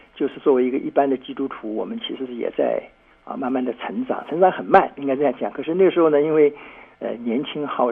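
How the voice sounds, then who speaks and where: Over noticeable background noise, a man talks at a fairly quick pace. His pitch is fairly high and his intonation lively. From Shanghai, China. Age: 70s. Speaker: pastor. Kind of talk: interview testimony. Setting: remote call link.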